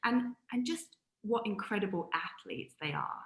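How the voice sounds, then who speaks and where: A woman's voice with a British accent. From UK. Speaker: sports presenter and former athlete. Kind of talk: interview.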